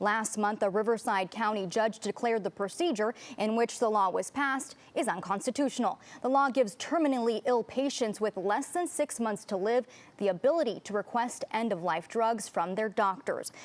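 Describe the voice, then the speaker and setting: A normal speaking voice keeps a moderate pace, its pitch varying in an ordinary way. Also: woman, fairly high pitch for a woman. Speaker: TV news anchor and reporter. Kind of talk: TV news anchor read.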